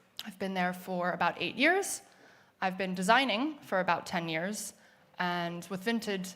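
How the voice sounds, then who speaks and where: In a room with audible echo, a woman with an American accent speaks at a medium pitch and moderate pace, with ordinary pitch variation. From United States. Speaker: product designer. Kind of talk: conference talk. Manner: hesitant, many fillers.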